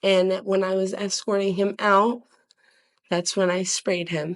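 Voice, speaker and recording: A woman speaks quietly at a medium pitch. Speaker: court witness. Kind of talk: court testimony. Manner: quiet, hard to hear; halting.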